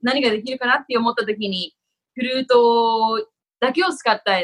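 Speaking at a fairly quick pace, a woman uses an unremarkable speaking voice with a fairly high pitch. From Japan (Tokyo). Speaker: actor and former flutist. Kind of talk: interview.

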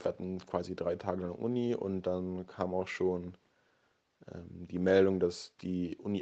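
A man's very deep, low voice in a dark, mellow tone, very slow, against a quiet background. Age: 20s. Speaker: medical student. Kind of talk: casual interview. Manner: hesitant, many fillers.

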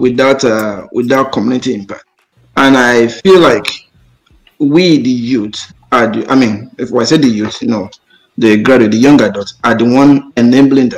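At a moderate pace, a man with a Nigerian accent talks at medium pitch with ordinary pitch variation. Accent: Nigerian (Yoruba) English. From Nigeria, Ondo State. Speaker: realtor. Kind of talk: panel discussion.

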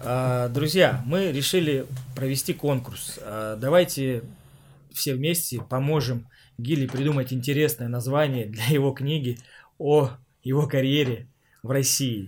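Somewhat breathy, a man speaks at a very slow pace and medium pitch with fairly even intonation and long, frequent pauses, on a very clean recording with a silent background. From Siberia, Omsk. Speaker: podcast host, former footballer. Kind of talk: casual interview chat.

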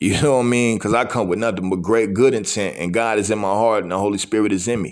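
At a very fast pace, a man talks in a fairly low voice with ordinary pitch variation. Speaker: podcast host giving a message. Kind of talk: sermon-style motivational talk. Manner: casual, conversational, repeats filler phrases.

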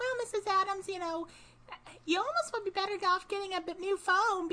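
At a moderate pace, a put-on character voice is pitched extremely high.

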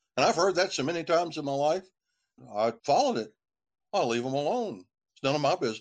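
With an Appalachian accent, a man talks at a very fast pace, his pitch swinging very widely between long, frequent pauses. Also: fairly high pitch for a man. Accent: Appalachian American. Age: 60s. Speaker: lawyer and musician. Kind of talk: interview.

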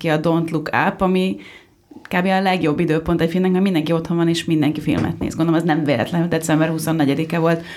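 A woman talks fairly quickly in an ordinary speaking voice. Her pitch is fairly low and her intonation fairly even. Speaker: podcast co-host. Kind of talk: panel discussion. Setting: studio.

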